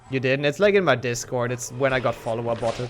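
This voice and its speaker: A man with a German accent speaks at a medium pitch over noticeable background noise. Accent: German accent, improved but still noticeable. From Germany. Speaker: speedrun streamer. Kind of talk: casual chat. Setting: live stream. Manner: halting.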